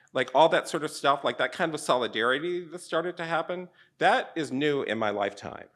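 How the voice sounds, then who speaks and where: Against a quiet background, a man with an American accent talks at a fairly quick pace in a fairly high pitch, with lively intonation and vocal fry. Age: 60s. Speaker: artist. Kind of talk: public conversation.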